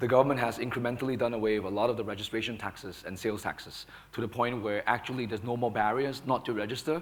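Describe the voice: A man speaks fast with few pauses. His pitch is fairly low and varies in an ordinary way.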